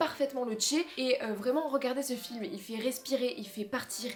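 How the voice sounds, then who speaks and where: Speaking with a slight southern French accent, a woman with a high pitch sounds animated over noticeable background noise. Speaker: film YouTuber. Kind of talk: casual vlog.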